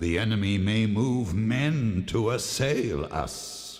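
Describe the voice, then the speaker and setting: Speaking at a very slow pace, a man uses a put-on character voice. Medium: audio drama.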